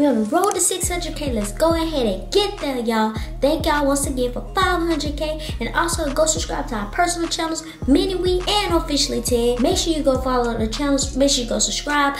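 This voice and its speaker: Over clear music in the background and audible room echo, a woman speaks fairly quickly at a high pitch with hardly any pauses. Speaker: vlogger. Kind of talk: casual vlog chat. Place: bathroom. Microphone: phone near.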